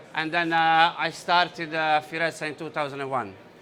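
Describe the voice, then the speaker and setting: Talking at a moderate pace with a Bosnian accent, a man has a bright, sharp tone and a fairly high pitch. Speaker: entrepreneur. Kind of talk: conference talk. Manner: hesitant, many fillers.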